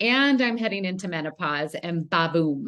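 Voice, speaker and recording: A woman speaks at a moderate pace in a normal speaking voice, with ordinary pitch variation against a quiet background. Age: 50s. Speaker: wellness advocate. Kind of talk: panel discussion.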